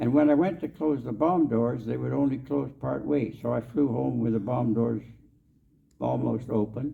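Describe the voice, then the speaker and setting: There is audible room echo as a man speaks at a moderate pace with a Canadian Prairie accent. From Canadian Prairies, Saskatchewan. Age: 80s+. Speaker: war veteran. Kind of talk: storytelling talk. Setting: convention stage with audience.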